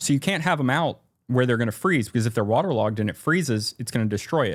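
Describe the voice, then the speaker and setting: On a very clean recording with a silent background, a man talks very fast at a medium pitch with lively intonation. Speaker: maritime archaeology commentator. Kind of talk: podcast interview. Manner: halting.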